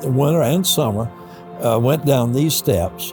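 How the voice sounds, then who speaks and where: Over music in the background, a man of medium pitch speaks in a Southern US accent with lively intonation. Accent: Southern American. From Columbia, South Carolina. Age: 80s+. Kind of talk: interview answer.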